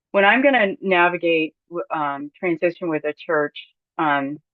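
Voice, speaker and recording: A woman talks at a moderate pace in a fairly low pitch. Hers is a normal speaking voice. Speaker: church consultant and seminar presenter. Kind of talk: webinar lecture.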